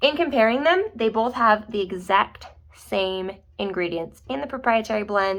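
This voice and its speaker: In a normal speaking voice, a woman talks at a moderate pace with a medium pitch and lively intonation. The recording is very clean, with a silent background. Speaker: product review YouTuber. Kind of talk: casual product review. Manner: chatty.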